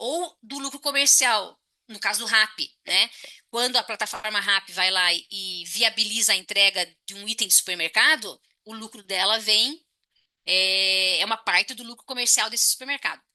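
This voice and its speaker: Over a quiet background, a bright, sharp tone carries ordinary pitch variation and big swings in loudness. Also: woman, fairly high pitch for a woman. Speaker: economics professor. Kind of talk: lecture. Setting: online talk with chat. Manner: fast.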